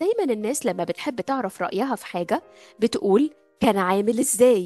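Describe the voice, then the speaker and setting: A woman's fairly high, lively voice at a moderate pace, dry and close with no echo, music in the background. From Egypt. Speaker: English teacher. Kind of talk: language lesson.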